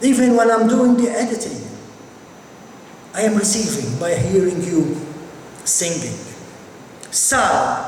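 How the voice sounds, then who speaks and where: Noticeable background noise and audible room echo accompany a man speaking at an extremely high pitch with lively intonation. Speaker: pastor leading a Bible study. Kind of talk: sermon. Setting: church with amplified system.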